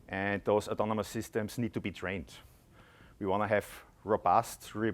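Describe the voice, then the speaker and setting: The speaker is a man with an Austrian accent. His pitch sits fairly low and his intonation stays fairly even. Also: very clean recording, silent background. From Austria, Graz. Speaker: tech company product executive. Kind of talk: conference presentation. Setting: conference stage with audience.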